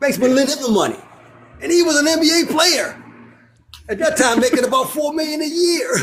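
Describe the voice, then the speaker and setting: A loud man at an extremely high pitch with ordinary pitch variation, a fairly quick pace broken by long, frequent pauses, audible room echo and noticeable background noise. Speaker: real estate developer. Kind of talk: casual chat.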